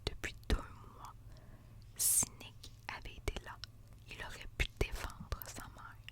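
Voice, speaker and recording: Someone whispers very slowly with long, frequent pauses amid noticeable background noise. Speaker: ASMR reader. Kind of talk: reading aloud. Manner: whispering; soft-spoken.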